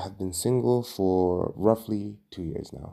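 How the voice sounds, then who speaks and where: A man with a very deep, low pitch and a dark, mellow tone. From Tanzania, Dar es Salaam. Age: 20s. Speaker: podcast host. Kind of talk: solo podcast monologue. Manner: halting, many fillers and repetitions.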